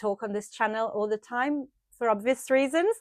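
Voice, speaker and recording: A woman speaks at a fairly quick pace with an Italian accent and ordinary pitch variation. The recording is very clean, with a silent background and a dry, close sound with no echo. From Italy, Tuscany (near Florence). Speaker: sewing and knitting vlogger. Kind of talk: casual chat to camera.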